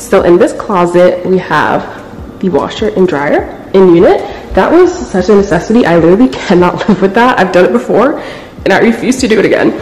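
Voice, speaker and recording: A woman talks at a fairly quick pace with lively intonation. There is light background noise and audible room echo. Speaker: vlogger. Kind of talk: casual vlog chat. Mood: excited, upbeat. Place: home room. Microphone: phone near.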